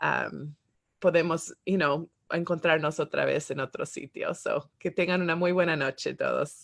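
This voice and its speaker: The sound is dry and close, with no echo. A woman speaks at a fairly slow pace. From Spanish-speaking country as young child, then United States. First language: English now dominant (Spanish was first as a child) (speaking Spanish). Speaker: podcast host. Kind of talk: interview closing and podcast outro. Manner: halting with many fillers and English words.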